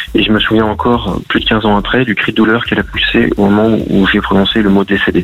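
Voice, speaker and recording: A man rattles on at a very fast pace with hardly any pauses and very even loudness, against noticeable background noise. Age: 40s. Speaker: gendarmerie officer and author. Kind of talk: radio interview. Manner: halting, with many fillers and repetitions.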